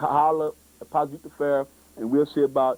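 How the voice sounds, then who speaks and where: A man's dark, mellow tone in a dry, close sound with no echo. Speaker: youth TV show host. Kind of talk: public access TV promo talk. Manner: animated.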